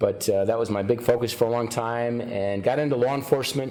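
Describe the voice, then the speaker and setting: A man at medium pitch, fairly quick pace and fairly even intonation, over noticeable background noise. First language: Ukrainian. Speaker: county sheriff. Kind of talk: interview.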